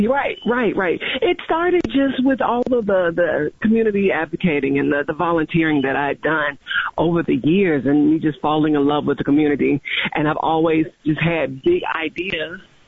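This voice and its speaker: Over noticeable background noise, a woman with a fairly low pitch talks at a moderate pace, her intonation lively and her loudness very even. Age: 40s. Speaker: county commissioner elect. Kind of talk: radio interview. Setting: phone call.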